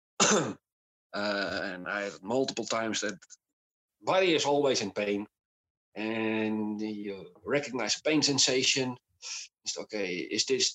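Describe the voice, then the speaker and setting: A man with a Dutch accent talks at a fairly slow pace. His pitch varies in an ordinary way. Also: dry, close sound with no echo. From Netherlands. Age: 30s. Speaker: podcast guest with chronic illness. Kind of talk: casual interview. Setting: video call.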